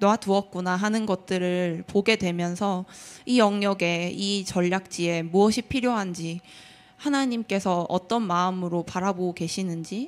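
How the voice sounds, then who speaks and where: A woman's medium-pitched voice, fairly even in intonation, at a fairly slow pace. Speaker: prayer ministry member. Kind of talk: testimony.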